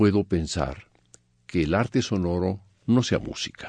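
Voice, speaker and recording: Against a quiet background, with a dry, close sound and no echo, a man speaks very slowly with lively intonation. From Mexico. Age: 70s. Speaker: composer. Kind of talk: interview monologue.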